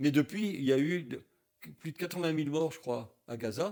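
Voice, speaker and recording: Here a man talks at a fairly quick pace with a fairly high pitch. His pitch variation is ordinary. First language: German (speaking French). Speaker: Holocaust survivor, activist. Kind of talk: interview.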